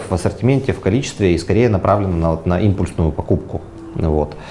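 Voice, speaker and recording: A man speaks fairly quickly with a very deep, low pitch and lively intonation. Background noise is noticeable. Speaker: restaurateur. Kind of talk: interview.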